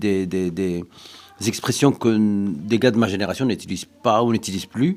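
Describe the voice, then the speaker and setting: A man speaks fairly quickly in a fairly low register, his pitch rising and falling in an ordinary way. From Brussels, Belgium (Moroccan family). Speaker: interviewee. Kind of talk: interview. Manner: halting.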